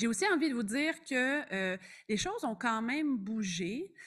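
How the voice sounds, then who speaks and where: A woman's unremarkable speaking voice, fairly high in pitch, with ordinary pitch variation and a fairly slow pace, on a very clean recording with a silent background. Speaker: family physician and researcher. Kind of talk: conference presentation.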